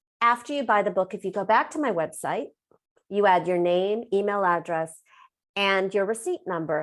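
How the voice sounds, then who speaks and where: A woman with a Californian accent and an animated tone, medium pitch, ordinary pitch variation and moderate pace, in a very clean recording with a silent background. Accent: General American, Californian. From US West Coast, Los Angeles. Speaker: author and business coach. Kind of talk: interview.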